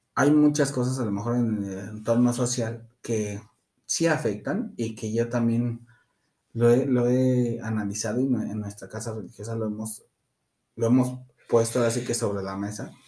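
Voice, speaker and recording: A man speaks at medium pitch with a dark, mellow tone. His pace is fairly slow and his intonation fairly even. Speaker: practitioner of an Afro-Caribbean religion. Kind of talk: interview.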